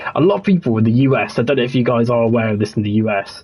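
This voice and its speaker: A man's medium-pitched, somewhat breathy voice with a West Midlands accent, very fast delivery and fairly even intonation. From West Midlands, England. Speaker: gaming streamer. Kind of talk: casual livestream chat. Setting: livestream on console.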